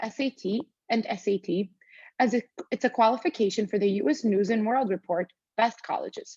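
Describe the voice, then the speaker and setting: A woman talks at a fairly quick pace with a non-native accent and a fairly high, somewhat breathy voice. Her intonation is lively, and the sound is dry and close with no echo. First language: not English. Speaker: student. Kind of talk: reading aloud. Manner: formal.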